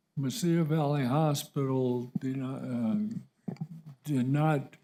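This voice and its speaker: Speaking at a very slow pace, a man uses a medium pitch with a dark, mellow tone and ordinary pitch variation. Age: 80s+. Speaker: public commenter, retired doctor. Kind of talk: public comment at council meeting. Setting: county commission chambers. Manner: halting.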